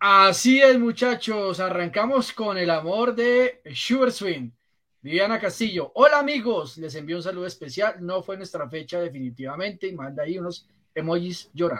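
This man's high pitch and bright, sharp tone come with big swings in loudness as he speaks at a moderate pace. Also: lively intonation. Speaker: football pundit. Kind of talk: casual chat.

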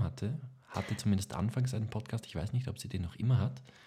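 A man's fairly low, dark, mellow voice with vocal fry. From Lower Austria. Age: 20s. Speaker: actor, podcast co-host. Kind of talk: casual chat.

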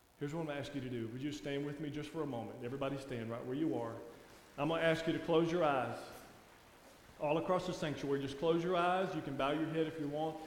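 Over noticeable background noise and audible room echo, a man with a Louisiana accent talks in a fairly high pitch with fairly even intonation. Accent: Southern US (Louisiana) drawl. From Louisiana, US South. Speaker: guest preacher. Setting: church sanctuary with congregation. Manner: warm, conversational folksy delivery with laughs.

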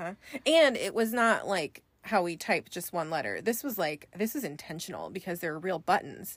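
A woman with an American accent has a plain, everyday voice at a medium pitch. She speaks at a moderate pace with lively intonation on a very clean recording with a silent background. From US West Coast, Northern California (Bay Area). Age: 30s. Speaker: manager. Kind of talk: casual chat. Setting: recorded in a closet at home.

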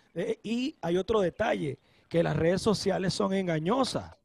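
In a Caracas accent, a man speaks at a fairly slow pace with a high pitch and an animated tone. The sound is dry and close with no echo. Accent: Venezuelan Spanish (Caracas). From Venezuela, Caracas. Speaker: DJ. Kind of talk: casual chat. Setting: video call.

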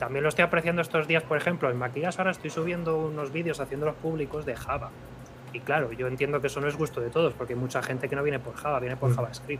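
There is noticeable background noise as a man talks at a very fast pace. His pitch is fairly high and his intonation fairly even. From Spain, Madrid. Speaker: software developer and content creator. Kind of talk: casual chat.

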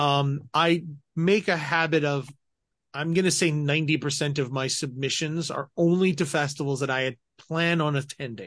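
A man with an American accent and an ordinary speaking voice, fairly high in pitch, at a moderate pace against a quiet background. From Colorado. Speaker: film festival technical director and filmmaker. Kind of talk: casual interview.

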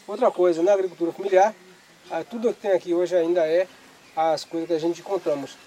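A man with a high pitch and ordinary pitch variation talks at a fairly quick pace amid noticeable background noise. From Pernambuco, northeastern Brazil. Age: 50s. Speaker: fisherman and museum founder. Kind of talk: interview testimony.

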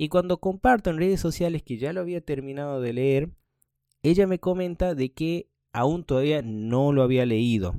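A man speaks in a Rioplatense accent with lively intonation and a dark, mellow tone. The sound is dry and close with no echo, on a very clean recording with a silent background. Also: fairly high pitch for a man, moderate pace. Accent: Rioplatense Spanish (voseo, 'che'). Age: 30s. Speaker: podcast host. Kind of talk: casual monologue.

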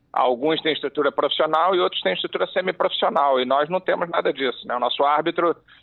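An ordinary speaking voice from a man, fairly high in pitch, with lively intonation. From Rio de Janeiro, Brazil. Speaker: former football referee, refereeing commentator. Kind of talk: interview.

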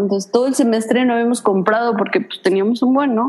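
A woman speaks over noticeable background noise. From Mexico. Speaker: podcast co-host, student. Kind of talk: casual chat.

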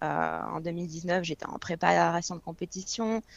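A woman with a normal speaking voice talks at a fairly slow pace against a quiet background, her pitch fairly low and her intonation fairly even. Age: 20s. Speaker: fitness coach. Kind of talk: casual chat.

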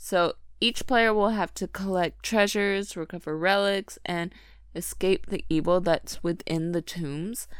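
An ordinary speaking voice at a fairly slow pace, with ordinary pitch variation, on a very clean recording with a silent background. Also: woman. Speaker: podcast host, reads anime news. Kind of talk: casual chat. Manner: playful, laughs often.

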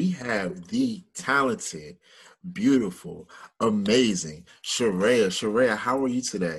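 A man with a Mid-Atlantic American accent at a medium pitch, very wide pitch swings and a very slow pace, over a quiet background. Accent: Mid-Atlantic urban American. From Washington, DC. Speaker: podcast host. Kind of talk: interview.

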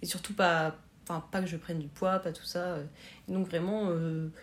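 Somewhat breathy and fairly low-pitched, a woman speaks at a fairly slow pace. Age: 20s. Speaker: student sharing eating disorder experience. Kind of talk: testimony. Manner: halting.

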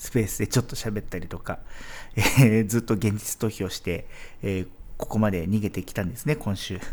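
Heard on a very clean recording with a silent background, a man speaks with a fairly low pitch. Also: ordinary pitch variation, fairly quick pace. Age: 40s. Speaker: podcast host, expat office worker. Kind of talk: solo podcast monologue. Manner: hesitant, many fillers.

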